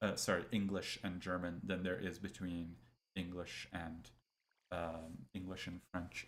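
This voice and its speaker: A man talks at a fairly slow pace in a very deep, low voice with monotone, flat intonation. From Europe. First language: not English. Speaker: science YouTuber. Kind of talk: casual chat. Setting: live stream. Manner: halting.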